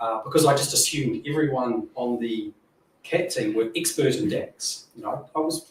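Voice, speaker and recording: A man with a New Zealand accent speaks at a fairly high pitch with ordinary pitch variation. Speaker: software engineer / data modelling expert. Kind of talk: panel Q&A at a meetup. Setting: stage with audience. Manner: fast.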